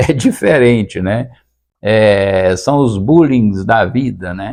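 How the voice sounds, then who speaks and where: A man speaks against a quiet background. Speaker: retired teacher and comedy content creator. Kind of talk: casual talk to camera, podcast-style. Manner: hesitant, reflective.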